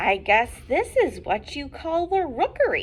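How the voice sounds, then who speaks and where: Using a put-on character voice, a woman speaks at an extremely high pitch and a fairly slow pace, swinging her pitch very widely, with clear background noise behind her. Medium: read story.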